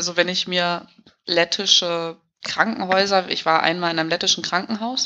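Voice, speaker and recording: This woman talks at a moderate pace. Her pitch rises and falls fairly evenly. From Hamburg, northern Germany. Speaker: emigrant interviewee. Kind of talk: casual interview.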